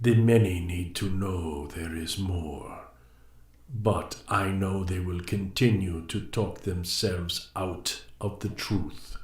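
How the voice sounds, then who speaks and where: Using a put-on character voice, a man talks at a very slow pace in a very deep, low pitch, with a slight echo around him. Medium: read story. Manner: cryptic, measured.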